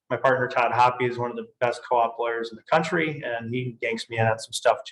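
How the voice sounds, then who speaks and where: He speaks in an Upper Midwest accent. His pitch is medium. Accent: Upper Midwest American. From Michigan, Grand Rapids. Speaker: tax and estate lawyer. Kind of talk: webinar presentation. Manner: casual with fillers.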